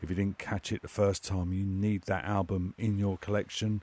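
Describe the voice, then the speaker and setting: Speaking with a British accent, a man keeps a moderate pace. The recording is very clean with a silent background, and the sound is dry and close with no echo. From UK. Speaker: radio DJ. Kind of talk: radio DJ patter, chatty and informal, introducing tracks and music news. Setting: radio studio.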